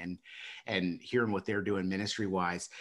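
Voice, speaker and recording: This is a man speaking at a moderate pace. The background is quiet. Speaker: interviewer, staffing company co-founder. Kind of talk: interview host. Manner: upbeat, casual. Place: office. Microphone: video call.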